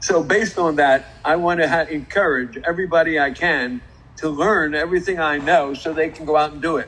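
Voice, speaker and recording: Energetic speech at a fairly quick pace, with noticeable background noise. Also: man, fairly high pitch for a man. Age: 80s+. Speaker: car industry entrepreneur. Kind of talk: live stream interview.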